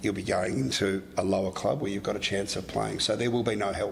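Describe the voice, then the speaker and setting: Over music in the background, a man with an Australian accent speaks at a fairly low pitch. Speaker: sports clinic director, former professional footballer. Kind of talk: podcast interview.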